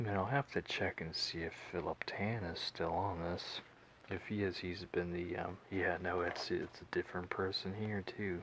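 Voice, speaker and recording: A soft-spoken man with an American accent has a very deep, low pitch. He talks at a moderate pace with fairly even intonation. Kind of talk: ASMR comic book haul show and tell.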